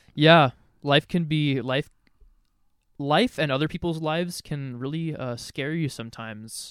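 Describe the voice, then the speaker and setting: A man with an American accent and a fairly high pitch, speaking at a fairly slow pace with ordinary pitch variation, in a dry, close sound with no echo and a very clean recording against a silent background. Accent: West Coast with slight Canadian tinge. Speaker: podcast co-host. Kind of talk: casual chat.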